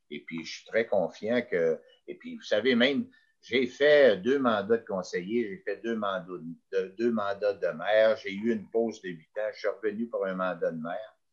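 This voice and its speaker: The man's loudness swings widely as he speaks at a moderate pace. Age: 60s. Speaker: mayor. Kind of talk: interview. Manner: halting.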